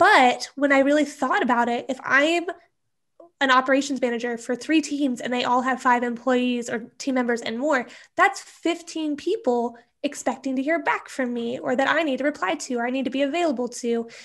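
A woman with an American accent speaks at a moderate pace and a high pitch. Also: ordinary pitch variation. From US Midwest, small-town Nebraska. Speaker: email marketing strategist; interview guest. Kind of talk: interview. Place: home room. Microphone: earbuds.

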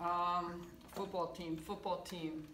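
Loud background noise behind a female speaker. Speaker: teacher. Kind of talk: playful classroom lesson narration. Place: classroom. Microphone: camera far.

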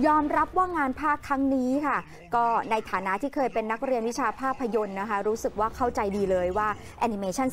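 Music plays behind a woman whose voice sits fairly high in pitch. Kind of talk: TV entertainment news report.

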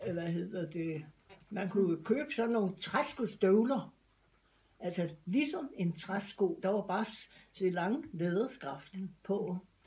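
A woman speaks at a very slow pace, her voice somewhat breathy with a dark, mellow tone. Her intonation is lively, broken by long, frequent pauses. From Denmark. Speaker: grandmother sharing memories. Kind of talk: interview answer. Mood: reminiscing, relaxed. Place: home room.

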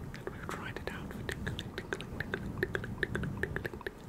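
A man whispers. His voice is soft-spoken. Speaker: ASMR creator. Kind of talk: soft whispered ASMR talk. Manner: soft, hushed ASMR whisper close to the mic. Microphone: studio mic.

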